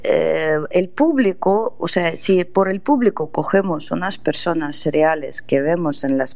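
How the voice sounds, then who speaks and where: With a Russian accent, a woman speaks very slowly in a dark, mellow tone with lively intonation. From Russia, Saint Petersburg. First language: Russian (speaking Spanish). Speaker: literary agent and translator. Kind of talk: radio interview.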